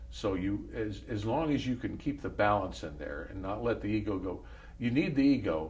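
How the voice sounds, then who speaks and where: Audible room echo surrounds a man with a fairly low pitch and some vocal fry. He talks at a fairly quick pace with lively intonation. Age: 70s. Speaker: former pro golfer. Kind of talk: interview.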